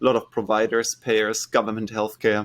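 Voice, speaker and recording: A man talks fairly quickly in a German accent. The recording is very clean, with a silent background. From Germany. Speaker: startup founder and CEO. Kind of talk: interview.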